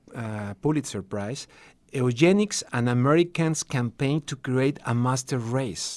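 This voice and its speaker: A man with a Spanish accent, at a fairly slow pace and with ordinary pitch variation. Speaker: TV and radio journalist. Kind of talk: radio interview. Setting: radio studio. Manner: halting, with false starts.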